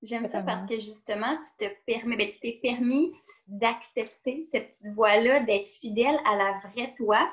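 Somewhat breathy and in a Quebec accent, the speaker talks at a moderate pace with ordinary pitch variation and big swings in loudness. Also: woman, fairly high pitch for a woman. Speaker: podcast host and fitness trainer. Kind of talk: casual interview conversation.

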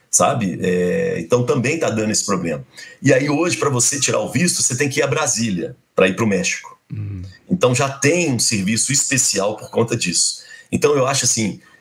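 Music plays in the background as a man with a medium pitch talks at a fairly quick pace, his intonation lively. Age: 50s. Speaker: university professor and radio broadcaster. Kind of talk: casual interview, storytelling.

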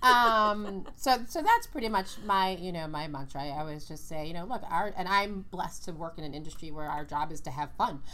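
In an American accent, a woman talks fairly quickly with hardly any pauses, her pitch fairly low. Her tone is bright and sharp, and her intonation lively. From New York, Brooklyn. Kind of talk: interview.

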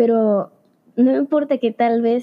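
Fairly high in pitch, a woman with a plain, everyday voice talks at a fairly slow pace. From Veracruz, Mexico. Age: young. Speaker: engineering student. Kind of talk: podcast interview.

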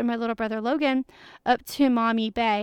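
A woman's normal speaking voice, fairly high in pitch, with fairly even intonation, a moderate pace and a dry, close sound with no echo. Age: 20s. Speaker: travel podcast host. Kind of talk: solo podcast monologue.

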